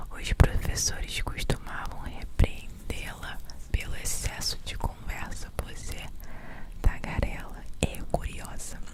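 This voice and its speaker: Whispering at a very slow pace, the voice comes through noticeable background noise. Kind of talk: ASMR whispered fact narration. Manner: whispered, soft.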